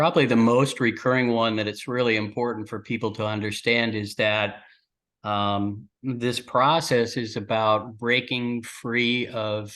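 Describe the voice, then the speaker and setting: Speaking at a fairly slow pace over a quiet background, a man uses a medium pitch and fairly even intonation. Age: 50s. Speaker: author. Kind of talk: interview. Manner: halting.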